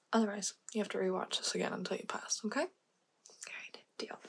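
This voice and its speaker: The voice is somewhat breathy. Its intonation stays fairly even. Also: woman. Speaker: ASMR creator. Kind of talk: ASMR roleplay, personal attention, direct instructions. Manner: fast, direct, commanding. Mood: playful, teasing. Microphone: studio mic.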